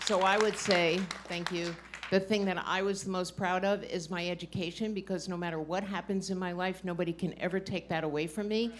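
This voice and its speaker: Noticeable background noise fills the recording. A woman talks at a fairly quick pace in a medium pitch with monotone, flat intonation. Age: 70s. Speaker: poker hall of famer, panelist. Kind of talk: panel discussion.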